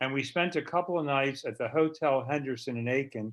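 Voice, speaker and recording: A man talks with an American accent and a bright, sharp tone. His pitch variation is ordinary. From Baltimore, US. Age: 70s. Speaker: retired doctor sharing family history. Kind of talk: personal reminiscence. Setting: video conference.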